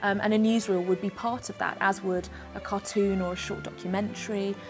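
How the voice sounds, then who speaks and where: A woman talks at a fairly quick pace with a medium pitch and ordinary pitch variation. Music plays in the background. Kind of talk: interview answer.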